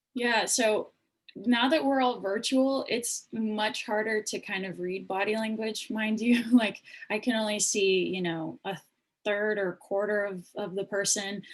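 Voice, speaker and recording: Here is an ordinary speaking voice from a woman, fairly high in pitch. She talks at a fairly slow pace with fairly even intonation. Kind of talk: panel discussion. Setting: video call.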